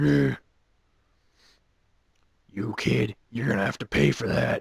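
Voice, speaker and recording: A put-on character voice from a man, raspy and fairly low in pitch, at a fairly slow pace. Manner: scolding, mean.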